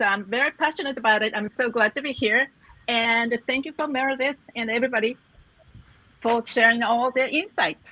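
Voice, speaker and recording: A woman speaks in a Japanese accent with a high pitch and ordinary pitch variation. Her pace is fairly quick, and the sound is dry and close, with no echo. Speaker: executive coach. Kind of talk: panel discussion. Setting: live video stream.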